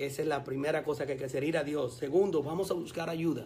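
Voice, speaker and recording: A man's ordinary speaking voice, fairly high in pitch, with fairly even intonation. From Colombia. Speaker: pastor. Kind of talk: radio interview.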